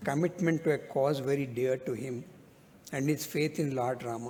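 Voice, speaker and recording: The male speaker's tone is dark and mellow. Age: 60s. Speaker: lawyer speaking at a book event. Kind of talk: speech at a book launch. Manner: halting.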